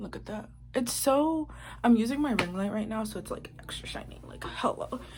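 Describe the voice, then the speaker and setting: Fairly quick speech from a woman, with big swings in loudness, audible room echo and noticeable background noise. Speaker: YouTuber. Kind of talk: casual vlog with reading aloud. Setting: bedroom. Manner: low voice; muffled by face mask.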